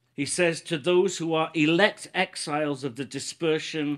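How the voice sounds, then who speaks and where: A man speaks at a fairly high pitch with ordinary pitch variation. The recording is very clean, the background silent. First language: English (speaking Turkish). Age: 60s. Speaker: visiting pastor. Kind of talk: sermon. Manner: slow, in short sentences for an interpreter.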